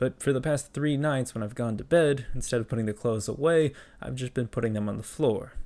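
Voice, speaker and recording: Talking at a fairly quick pace, this man has an ordinary speaking voice with medium pitch and ordinary pitch variation. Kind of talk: comedic talk to camera.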